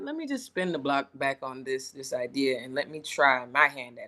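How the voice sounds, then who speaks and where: The speaker is a woman. She talks with a Lowcountry accent. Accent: Southern US, Lowcountry. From Charleston, South Carolina. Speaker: chef, Army veteran. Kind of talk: podcast interview answer. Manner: casual, friendly.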